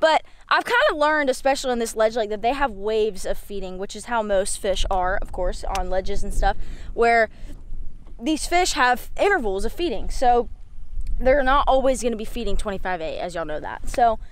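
A woman at a fairly high pitch, with lively intonation and a moderate pace

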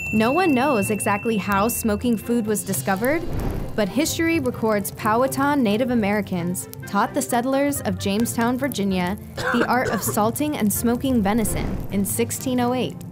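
A woman's fairly high, lively voice at a moderate pace, very even in loudness, with music in the background. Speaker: narrator. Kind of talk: educational narration.

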